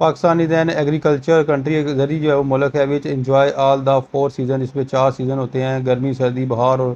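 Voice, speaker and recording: At a moderate pace with hardly any pauses, a man with a fairly high pitch speaks in monotone, flat intonation. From Pakistan. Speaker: teacher. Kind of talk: lecture. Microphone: phone near.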